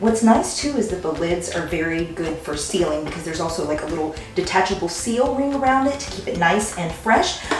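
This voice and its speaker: A woman with a fairly low pitch talks at a fairly quick pace with hardly any pauses. The audio carries audible room echo and noticeable background noise. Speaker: product reviewer. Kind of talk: product demo tutorial. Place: kitchen.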